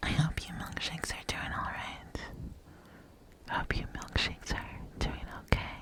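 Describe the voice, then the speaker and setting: A soothing whisper at a fairly slow pace, with long, frequent pauses and noticeable background noise. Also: woman. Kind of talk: ASMR comfort role play. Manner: whispered; soft-spoken, soothing.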